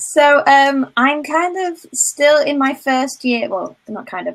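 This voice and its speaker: Pitched high, a woman speaks with a northern English accent. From northern England. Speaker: procrastination coach. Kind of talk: interview.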